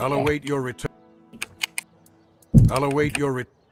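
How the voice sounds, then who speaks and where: A put-on character voice at a low-to-middle pitch, monotone and flat, at a moderate pace over faint music in the background. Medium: video game. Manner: repetitive.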